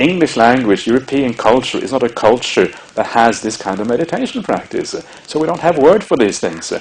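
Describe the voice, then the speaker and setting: Against noticeable background noise, a man talks at a fairly quick pace in a Norwegian accent. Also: medium pitch for a man, lively intonation. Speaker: Buddhist monk and meditation teacher. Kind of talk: dharma talk. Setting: meditation retreat. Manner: halting, many fillers.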